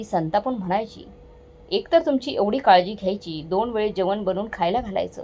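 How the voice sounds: Someone reads in a natural voice. The pitch rises and falls in an ordinary way.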